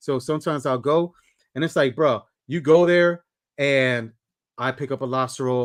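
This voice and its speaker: Ordinary pitch movement in a male voice pitched in the medium range. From New York / New Jersey area, Puerto Rican descent. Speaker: livestream host. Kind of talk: casual chat. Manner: fast talker.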